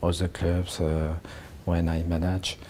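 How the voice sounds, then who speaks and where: With a French accent, a man speaks at a fairly slow pace in a very deep, low pitch, his intonation monotone and flat. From France. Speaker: football manager. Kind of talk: interview answer. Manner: hesitant, halting.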